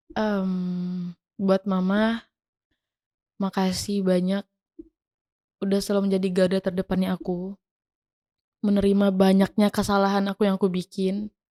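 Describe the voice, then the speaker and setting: In a dry, close sound with no echo, a woman speaks calmly at a medium pitch and a moderate pace, her dark, mellow tone flat and monotone, broken by long, frequent pauses. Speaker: singer. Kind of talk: interview answer.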